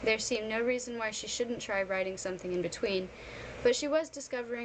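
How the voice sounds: A natural reading voice carries a typical amount of pitch movement.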